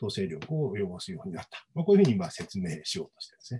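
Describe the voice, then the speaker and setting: A man speaks with a somewhat breathy voice of dark, mellow tone. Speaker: history professor. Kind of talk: academic panel commentary. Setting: video call. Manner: many filler words. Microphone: video call.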